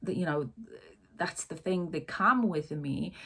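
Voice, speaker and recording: A woman speaks with a non-native accent and a fairly low pitch. Her voice is somewhat breathy, with ordinary pitch variation. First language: not English. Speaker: life coach. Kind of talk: casual talk to camera. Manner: hesitant, many fillers.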